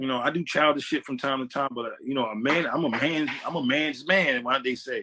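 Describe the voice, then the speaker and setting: At a fairly quick pace, a man speaks with a bright, sharp tone in a dry, close sound with no echo. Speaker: podcast host. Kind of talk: casual chat.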